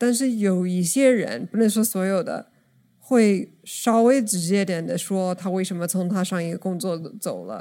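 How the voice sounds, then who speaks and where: With an English accent, a woman speaks fairly slowly in a dark, mellow tone at medium pitch with ordinary pitch variation, in a very clean recording with a silent background. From United States. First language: English (speaking Chinese). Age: 30s. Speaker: podcast guest. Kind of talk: casual chat.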